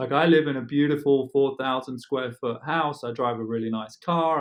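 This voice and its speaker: With an English accent, a man speaks at a medium pitch and moderate pace, showing ordinary pitch variation and hardly any pauses. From England. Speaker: real estate agent. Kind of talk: casual chat.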